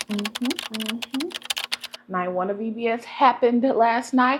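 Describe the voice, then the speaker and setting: A woman talks in an animated tone at a fairly high pitch with ordinary pitch variation. Noticeable background noise runs underneath. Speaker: vlogger. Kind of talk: casual chat.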